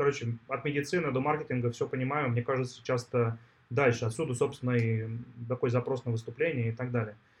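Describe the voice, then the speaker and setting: A man talks very fast at a medium pitch, somewhat breathy and with fairly even intonation. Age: 40s. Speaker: tech entrepreneur. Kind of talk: interview.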